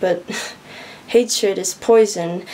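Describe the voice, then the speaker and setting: Noticeable background noise behind a woman's fairly level intonation. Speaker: slam poet. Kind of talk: spoken word poetry reading.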